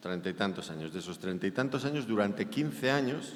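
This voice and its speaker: Over noticeable background noise and audible room echo, a man with a Spanish accent talks with lively intonation. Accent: Spanish (Spain). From Spain. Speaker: preacher. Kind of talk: sermon.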